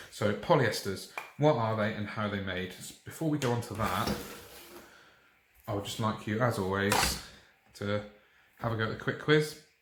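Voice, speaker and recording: Soft-spoken, a man with a British accent pauses long and often, with ordinary pitch variation. Noticeable background noise and audible room echo fill the recording. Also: fairly low pitch for a man, moderate pace. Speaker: chemistry teacher. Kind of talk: tutorial. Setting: dining room at home in the evening.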